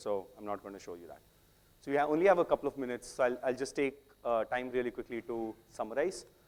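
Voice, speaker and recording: A man talks at a very fast pace with an Indian accent and ordinary pitch variation. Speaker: software tech lead, conference speaker. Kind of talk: technical talk.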